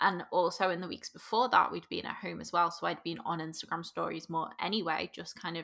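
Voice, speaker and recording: With a Liverpool accent, a woman speaks fairly quickly in a fairly low pitch, her voice showing vocal fry. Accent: Liverpool (Scouse), fairly soft. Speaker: business coach. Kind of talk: casual interview chat.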